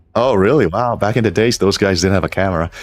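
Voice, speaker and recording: Noticeable background noise behind a man's speech of ordinary pitch variation. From US (born in the Philippines). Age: 40s. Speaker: gaming streamer and programmer. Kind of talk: live stream chat. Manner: hesitant, many fillers.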